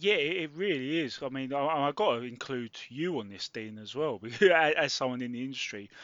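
This man has an ordinary speaking voice, pitched fairly high. His intonation is lively and his pace is moderate. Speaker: podcast co-host, sports journalist. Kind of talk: casual podcast chat.

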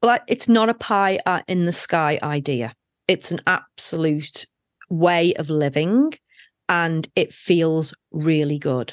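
Very slowly and with lively intonation, a woman speaks at a fairly low pitch over a quiet background, in a dry, close sound with no echo. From UK. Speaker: life coach and author. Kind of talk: interview.

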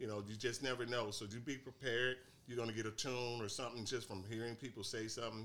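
Talking at a very fast pace, a man with an American accent uses a medium pitch. His intonation is monotone and flat, and his tone is bright and sharp. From St. Louis, Missouri, US Midwest. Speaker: author and songwriter. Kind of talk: casual interview chat.

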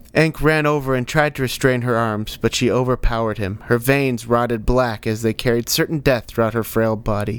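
Pitch shifts in an ordinary way during this plain reading aloud.

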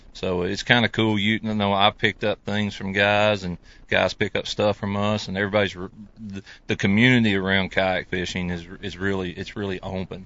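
A man speaks at a fairly quick pace with a Southern US accent. His pitch is fairly low and his intonation monotone and flat. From US South. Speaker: professional kayak angler. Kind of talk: casual chat. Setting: studio.

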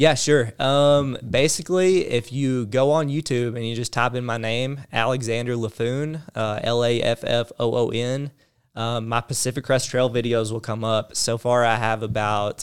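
A man with a Southern US accent speaks at medium pitch and a moderate pace, with hardly any pauses and fairly even intonation. The recording is very clean, with a silent background. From Arkansas, US South. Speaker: long-distance hiker. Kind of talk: casual chat.

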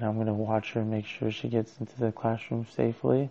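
A man speaks quietly. His intonation is monotone and flat. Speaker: podcaster. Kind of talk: personal solo monologue. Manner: quiet, low-voiced.

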